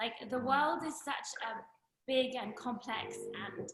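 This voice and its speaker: With a British accent, a woman talks at a fairly slow pace in a high pitch with a bright, sharp tone. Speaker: friend giving a birthday toast. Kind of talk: birthday toast on group video call. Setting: video call.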